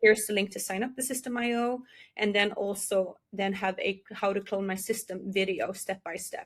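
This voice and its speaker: Speaking in a Norwegian accent, a woman keeps a moderate pace and a medium pitch. Her voice is somewhat breathy, with fairly even intonation. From Norway. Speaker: digital marketing entrepreneur. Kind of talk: interview.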